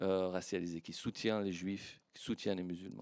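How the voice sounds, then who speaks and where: A man's voice, very cleanly recorded against total silence. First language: Persian (speaking French). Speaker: historian, academic panelist. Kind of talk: panel discussion. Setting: conference with audience. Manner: hesitant, many fillers.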